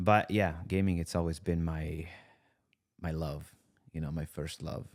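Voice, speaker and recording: In a slight Italian accent, a man speaks fairly slowly at a very deep, low pitch with fairly even intonation. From Italy, near Bologna. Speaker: content creator and musician. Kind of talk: casual podcast interview. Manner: casual, many fillers.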